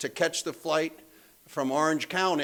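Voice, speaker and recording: An unremarkable speaking voice from a man with an American accent, fairly high in pitch, at a fairly quick pace. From Pennsylvania. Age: 60s. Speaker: AA speaker. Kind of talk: recovery testimony talk. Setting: meeting room with live audience. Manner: casual, conversational with many fillers.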